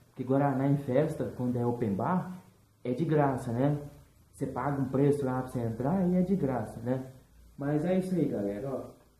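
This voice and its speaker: A man speaks at a moderate pace with ordinary pitch variation, and audible room echo surrounds him. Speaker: vlogger. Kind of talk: casual vlog chat. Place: home room. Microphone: webcam.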